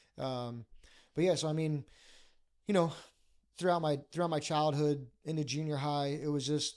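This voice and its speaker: A man in a Philadelphia accent, fairly high-pitched for a man, fairly even in intonation, at a moderate pace, on a very clean recording with a silent background. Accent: Philadelphia-area American. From Bucks County, Pennsylvania. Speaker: pastor. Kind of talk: podcast interview, life story. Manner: hesitant, many fillers.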